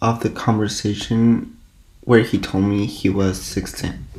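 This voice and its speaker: A man's medium-pitched voice with a non-native accent, very slow and monotone with flat intonation. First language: not English. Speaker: social media creator. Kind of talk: scripted personal statement. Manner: reading from a script.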